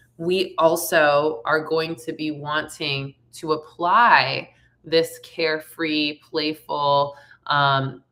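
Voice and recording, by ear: A woman speaks slowly in a low, raspy voice with a fairly bright tone and fairly even intonation.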